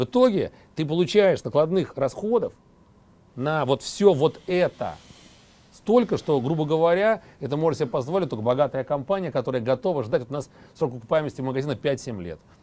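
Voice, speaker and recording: The man's tone is dark and mellow, pitched fairly high, with lively intonation. He keeps a moderate pace but takes long, frequent pauses. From Moscow, Russia. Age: 40s. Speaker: wine entrepreneur. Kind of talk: TV interview.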